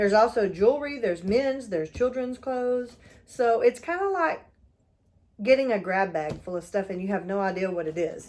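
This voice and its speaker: The speaker moves at a moderate pace with a Texas accent and lively intonation. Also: woman, fairly high pitch for a woman. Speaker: YouTuber and reseller. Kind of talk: unboxing video, casual chat. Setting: at her mother's house.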